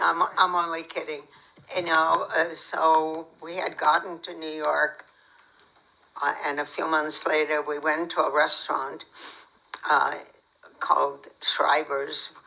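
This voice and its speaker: Over noticeable background noise, a woman speaks at a fairly slow pace, with long, frequent pauses. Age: 90s. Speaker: Holocaust survivor. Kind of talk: testimony Q&A.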